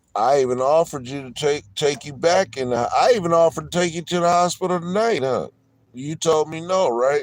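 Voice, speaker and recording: Loud and fairly quick, a man talks in a fairly high voice with ordinary pitch variation. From San Diego, California. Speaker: livestreamer. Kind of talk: heated argument.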